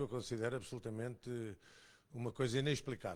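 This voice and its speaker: This is an ordinary speaking voice from a man at medium pitch. His pitch varies in an ordinary way. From Portugal, Almada. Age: 60s. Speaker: audience member. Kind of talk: audience question. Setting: museum talk with live audience.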